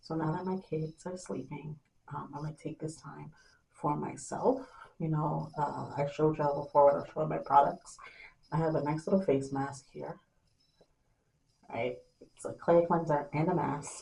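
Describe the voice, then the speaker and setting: A soft-spoken woman talks at a moderate pace with a very deep, low pitch, vocal fry and a dark, mellow tone. Her intonation is fairly even, her loudness swings widely, and long pauses come often. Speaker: beauty vlogger. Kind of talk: casual vlog talk to camera. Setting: at home at night, kids asleep.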